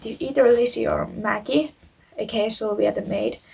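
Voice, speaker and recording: Moderately paced speech from a woman in a non-native accent. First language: not English. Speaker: YouTuber, true crime storyteller. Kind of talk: reading aloud a story with personal commentary; casual chat to viewers. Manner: halting, stumbles on words.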